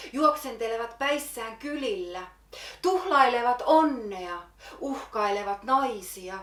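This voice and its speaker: Audible room echo surrounds a woman speaking very slowly with lively intonation. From Finland. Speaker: poet. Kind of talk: slam poetry performance.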